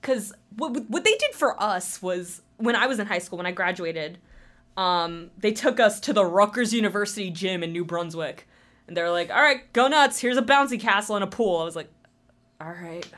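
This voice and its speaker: On a very clean recording with a silent background, a woman speaks at a medium pitch. She has a New Jersey accent and lively intonation. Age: 20s. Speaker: new staff member at community TV station. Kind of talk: casual interview. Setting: studio. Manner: loud.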